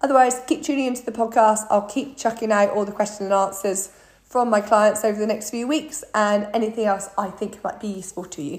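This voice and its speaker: Speaking in a British accent at a fairly quick pace with hardly any pauses, a woman has a fairly high, somewhat breathy voice. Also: ordinary pitch variation. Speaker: fitness coach. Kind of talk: podcast monologue.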